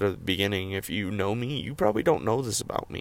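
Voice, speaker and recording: A man speaks at a fairly quick pace in a fairly low voice. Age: 20s. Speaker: personal podcaster sharing mental health struggles. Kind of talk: personal testimony monologue. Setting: in a car. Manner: halting, with many fillers.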